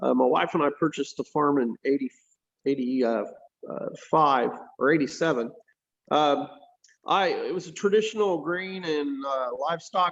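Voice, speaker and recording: Speaking with an American accent, this man has a fairly high pitch and ordinary pitch variation. He keeps a moderate pace but takes long, frequent pauses. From US Midwest, Indiana. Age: 60s. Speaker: farmer. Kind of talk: panel discussion.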